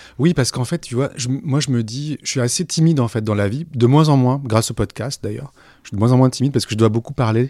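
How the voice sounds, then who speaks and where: On a very clean recording with a silent background, a man talks at a medium pitch in a dark, mellow tone with ordinary pitch variation. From southern France, Aix-en-Provence. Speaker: journalist and podcaster. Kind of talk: interview conversation. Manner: hesitant, many repetitions.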